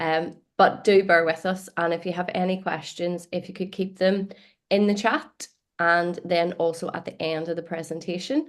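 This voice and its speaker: Against a quiet background, a woman speaks with an Irish accent. Her fairly low voice stays monotone and flat. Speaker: marketing content creator and trainer. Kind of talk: presentation.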